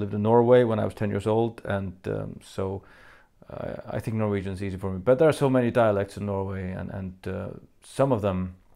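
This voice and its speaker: A man with a dark, mellow tone and fairly low pitch speaks at a fairly quick pace with fairly even intonation, recorded very cleanly with a silent background. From Faroe Islands. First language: Faroese. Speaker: metal band frontman answering fan questions. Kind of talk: Q&A video monologue. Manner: hesitant, many fillers.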